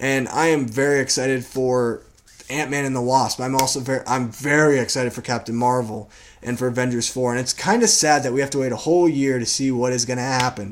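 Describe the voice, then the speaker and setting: Noticeable background noise sits behind this recording. A man speaks at a fairly quick pace. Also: medium pitch for a man. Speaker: film reviewer. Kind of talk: casual video review. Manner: animated, with hesitations.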